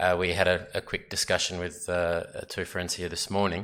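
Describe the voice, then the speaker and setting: A man with a strong Australian accent talks at a fairly quick pace in a bright, sharp tone. The recording is very clean, with a silent background. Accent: Australian, very obvious. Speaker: sports lawyer presenting at a symposium. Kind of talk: conference presentation. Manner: hesitant, many fillers.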